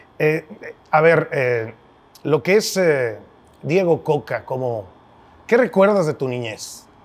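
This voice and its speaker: A man at a very slow pace, with big swings in loudness and long, frequent pauses. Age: 50s. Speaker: podcast host, sports journalist. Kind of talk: interview conversation. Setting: brewery. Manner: halting, repetitive. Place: bar.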